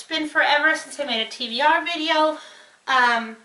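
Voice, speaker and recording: Using a raised, projected voice, a woman speaks with ordinary pitch variation. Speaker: book reviewer. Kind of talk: casual talk to camera.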